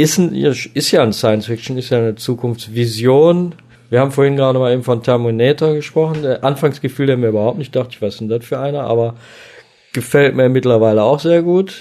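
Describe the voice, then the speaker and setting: A man speaks at a medium pitch with a dark, mellow tone. His pitch varies in an ordinary way, and his pace is fairly quick. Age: 50s. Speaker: chef and cooking podcaster. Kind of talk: casual chat.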